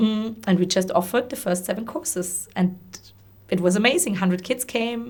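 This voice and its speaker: Her intonation lively, a woman speaks with a German accent. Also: medium pitch for a woman, fairly quick pace. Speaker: social entrepreneur and former teacher. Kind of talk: interview conversation. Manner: halting, many repetitions and fillers.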